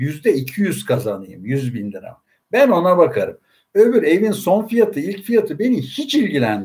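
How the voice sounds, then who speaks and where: A man's high, dark and mellow voice, fairly slow, with very wide pitch swings. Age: 60s. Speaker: investment fund commentator. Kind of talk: casual finance livestream talk. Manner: hesitant fillers, frequent e, ee.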